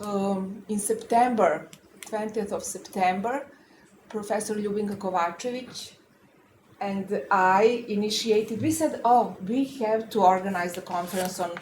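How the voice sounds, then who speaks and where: A woman speaks at a fairly slow pace, her medium-pitched voice somewhat breathy with ordinary pitch variation. Audible room echo surrounds her. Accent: non-native. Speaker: law professor and panel moderator. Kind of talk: round table discussion. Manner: halting, many filler sounds.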